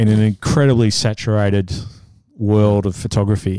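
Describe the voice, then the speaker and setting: A man's dark, mellow voice, fairly low in pitch, against a quiet background. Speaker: photographer. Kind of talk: casual chat.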